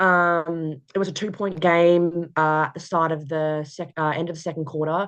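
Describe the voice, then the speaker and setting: Here a woman talks at a moderate pace with hardly any pauses, in a strong Australian accent. Her pitch is fairly low and her intonation monotone and flat. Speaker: college basketball player. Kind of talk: interview. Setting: video call. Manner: hesitant, many fillers.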